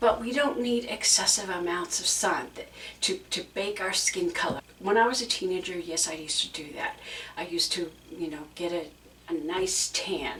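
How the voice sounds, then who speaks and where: With noticeable background noise behind her, a woman speaks at a medium pitch and a moderate pace, her pitch swinging very widely. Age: 60s. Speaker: YouTube creator. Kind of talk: casual chat.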